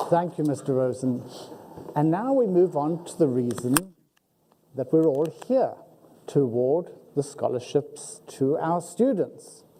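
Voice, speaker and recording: The speaker talks in a strong South African accent at a fairly slow pace. Long pauses come often. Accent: South African, heavy. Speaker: university faculty member, ceremony emcee. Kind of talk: ceremony hosting. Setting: auditorium with audience.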